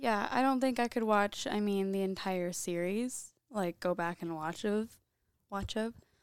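In a Midwestern US accent, a woman speaks fairly slowly at medium pitch. Her pitch varies in an ordinary way. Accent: US Midwest. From Iowa, Oskaloosa. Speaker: podcast guest, host's girlfriend. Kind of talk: casual chat. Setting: home office.

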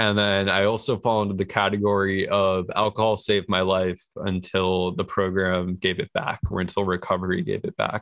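A man with an American accent speaks at a fairly low pitch and a moderate pace. His delivery is monotone and flat, with hardly any pauses. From New York. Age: 20s. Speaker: person in recovery and filmmaker. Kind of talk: interview, personal story.

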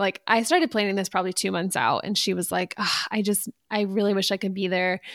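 In an unremarkable speaking voice at medium pitch, a woman talks at a fairly quick pace with hardly any pauses, on a very clean recording with a silent background. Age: 30s. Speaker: podcast co-host and wedding photographer. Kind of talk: casual chat.

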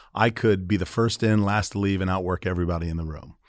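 In a very clean recording with a silent background, a man with a very deep, low pitch and an American accent talks at a very fast pace with ordinary pitch variation. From Florida, St. Petersburg. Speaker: restaurant entrepreneur. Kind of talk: interview.

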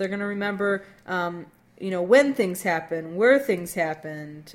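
A woman speaks at a medium pitch and moderate pace, in an unremarkable speaking voice. Her pitch varies in an ordinary way. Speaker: podcast co-host. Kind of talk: casual chat.

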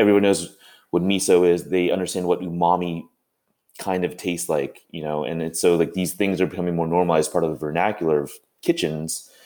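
A man with a very deep, low pitch and a dark, mellow tone talks at a very fast pace in a monotone, flat way, in a very clean recording with a silent background. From California. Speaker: chef. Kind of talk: casual chat.

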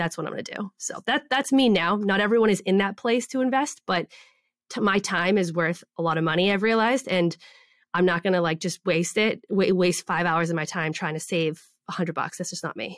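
A woman with a normal speaking voice talks at a fairly quick pace, her pitch medium and its variation ordinary. The sound is dry and close with no echo, and the recording is very clean with a silent background. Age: 30s. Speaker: online business coach and shop owner. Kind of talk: interview.

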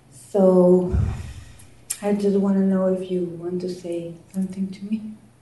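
Audible room echo surrounds a woman speaking with a non-native accent. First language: not English. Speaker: audience member at a group session. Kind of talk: audience question to presenter.

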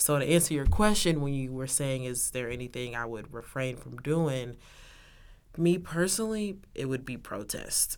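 A woman with an American accent and a very deep, low pitch speaks at a moderate pace with lively intonation and big swings in loudness. Audible room echo surrounds her voice. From Texas, Arlington. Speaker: university student. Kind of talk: interview.

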